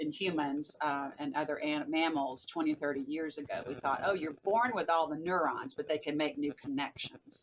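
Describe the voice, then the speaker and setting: A woman with a Southern US accent speaks at a moderate pace in a very deep, low voice with ordinary pitch variation. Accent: Southern US, still noticeable. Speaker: behavioral neuroscientist and author. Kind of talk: podcast interview.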